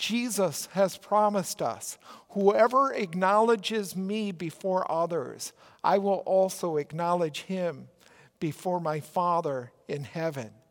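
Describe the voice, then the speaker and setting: Speaking with a Minnesotan accent, a man talks at a high pitch and a very slow pace with ordinary pitch variation. The recording is very clean, with a silent background. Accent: Minnesota. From Minnesota, US Midwest. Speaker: pastor. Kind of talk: sermon.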